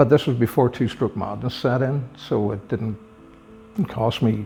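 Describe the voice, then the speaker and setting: A man's medium-pitched voice at a fairly slow pace, fairly even in intonation, with long, frequent pauses and music in the background. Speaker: retired police officer, motorcycle collector. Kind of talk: interview answer. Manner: soft-spoken.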